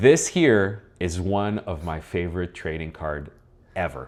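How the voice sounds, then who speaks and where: A man on a very clean recording against a silent background. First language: French. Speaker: collectibles channel host. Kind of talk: casual chat. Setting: studio.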